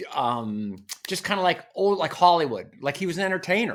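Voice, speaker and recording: A man speaks with an American accent. His pace is fairly slow. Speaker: TV meteorologist. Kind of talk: casual talk to camera. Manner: casual, rambling.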